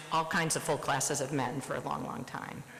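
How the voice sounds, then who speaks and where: A woman with an American accent and a very deep, low pitch at a fairly quick pace, with audible room echo and noticeable background noise. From US Midwest, Nebraska. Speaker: surgeon. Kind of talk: presidential address. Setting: conference stage with audience.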